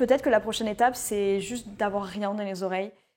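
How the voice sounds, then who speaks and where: The voice belongs to a woman. Ordinary variation marks her pitch. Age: 20s. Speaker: vlogger and self-confidence mentor. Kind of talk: casual vlog. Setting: outdoors in a garden. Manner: fast.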